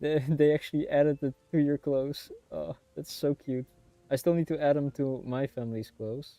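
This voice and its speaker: A man speaks at a moderate pace and fairly high pitch with fairly even intonation. The sound is dry and close with no echo, with music in the background. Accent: Dutch. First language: Dutch. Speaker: streamer. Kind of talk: casual chat. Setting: livestream. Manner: halting.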